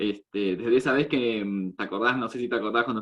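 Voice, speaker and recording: A man with an Argentine accent talks at a fairly quick pace, using a medium pitch and ordinary pitch variation. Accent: Argentine Spanish (voseo). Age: 20s. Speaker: meeting host. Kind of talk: casual chat.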